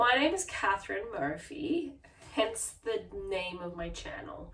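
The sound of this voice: Lively intonation and a fairly bright tone at a slow pace, with audible room echo. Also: woman.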